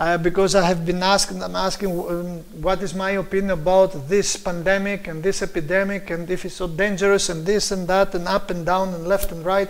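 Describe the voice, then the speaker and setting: Over noticeable background noise and audible room echo, a man with a Greek accent speaks high-pitched and monotone, at a fairly quick pace with hardly any pauses. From Greece. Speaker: preacher. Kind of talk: sermon. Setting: live stream.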